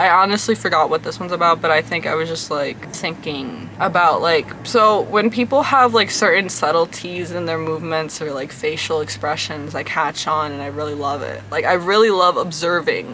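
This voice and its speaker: A woman's fairly low voice with ordinary pitch variation, set against noticeable background noise. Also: hardly any pauses. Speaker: vlogger. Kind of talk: casual vlog reading own poetry. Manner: slow; hesitant, filler-heavy.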